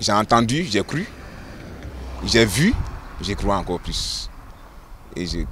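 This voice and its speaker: A man talks at a very slow pace with long, frequent pauses. Noticeable background noise runs underneath. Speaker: pastor. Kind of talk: testimony.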